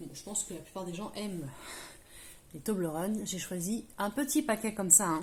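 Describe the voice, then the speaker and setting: A woman speaks at a moderate pace and medium pitch, somewhat breathy, with lively intonation. Her loudness swings widely, and she leaves long, frequent pauses. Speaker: craft tutorial youtuber. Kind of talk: tutorial. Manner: hesitant, many fillers.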